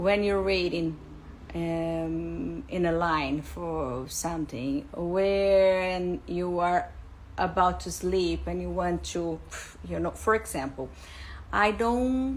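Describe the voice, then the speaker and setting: A woman speaks with a Portuguese accent at a very slow pace. Her voice carries audible room echo. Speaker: English teacher, school founder. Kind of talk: live stream talk. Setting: Instagram live. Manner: halting, with fillers.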